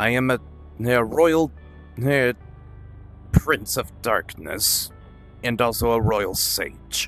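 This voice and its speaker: Over clear background music, a man speaks very slowly at a medium pitch with lively intonation, taking long, frequent pauses. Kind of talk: theatrical dark-lord roleplay. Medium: machinima. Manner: formal, stately, slightly pompous.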